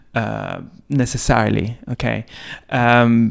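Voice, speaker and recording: This man speaks at a medium pitch with a non-native accent. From outside Britain. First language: not English. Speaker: podcast co-host. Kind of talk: casual discussion. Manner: halting.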